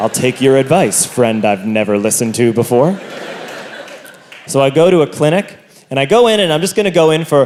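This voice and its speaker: A medium-pitched man with lively intonation speaks fairly quickly as noticeable noise runs in the background. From Ireland. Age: 20s. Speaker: stand-up comedian. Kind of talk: stand-up. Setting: stage with audience.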